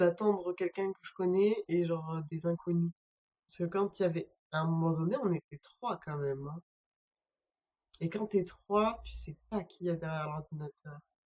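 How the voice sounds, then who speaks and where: A woman's fairly low voice with a dark, mellow tone, fairly slow pace, ordinary pitch variation and big swings in loudness, with a dry, close sound and no echo. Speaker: streamer. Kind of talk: casual live stream chat. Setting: home, solo live stream.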